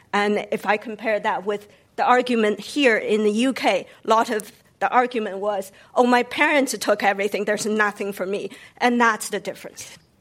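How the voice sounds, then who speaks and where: Her fairly high voice carries a Chinese accent. The woman keeps a moderate pace and fairly even intonation. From China, Beijing. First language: Mandarin Chinese. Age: 50s. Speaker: novelist and former business professor. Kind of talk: panel discussion. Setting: stage with audience.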